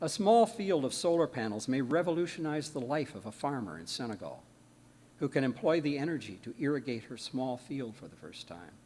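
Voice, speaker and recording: Speaking at a moderate pace, a man with a medium pitch and vocal fry swings his pitch very widely. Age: 80s+. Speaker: guest speaker, engineer. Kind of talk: sermon-style talk.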